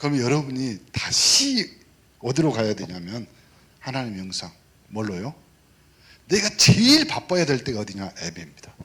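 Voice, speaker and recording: A man of medium pitch speaks in a South Jeolla accent with an animated tone, very wide pitch swings and big swings in loudness, at a moderate pace broken by long, frequent pauses. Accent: Mokpo dialect, mispronounces 예 sound. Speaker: pastor. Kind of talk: sermon. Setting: church service. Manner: animated, interactive with congregation.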